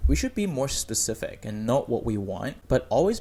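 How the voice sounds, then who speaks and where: A man talks at a moderate pace. He has a non-native accent. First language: not English. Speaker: content creator. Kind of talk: vlog-style talk to camera. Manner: casual, with fillers and self-corrections.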